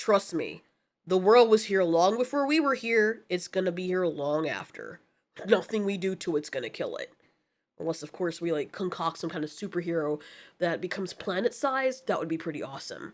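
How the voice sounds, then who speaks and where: In a very clean recording with a silent background, a woman puts on a raspy character voice at medium pitch and a fairly quick pace. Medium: actual play. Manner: laid-back, smug.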